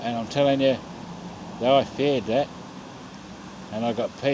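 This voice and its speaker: In an Australian accent, a man speaks at a medium pitch with monotone, flat intonation over noticeable background noise. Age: 50s. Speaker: vlogger. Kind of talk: casual vlog monologue. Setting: outdoors at a bus stop at night.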